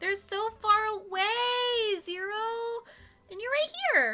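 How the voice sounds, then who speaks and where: A squeaky, bubbly put-on character voice from a woman, extremely high in pitch, at a fairly slow pace. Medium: game stream. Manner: bubbly, self-assured.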